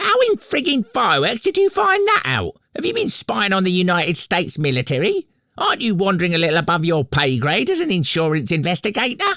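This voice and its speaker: A man's put-on character voice, high-pitched, very fast, at a very even loudness. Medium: audio drama. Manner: sarcastic.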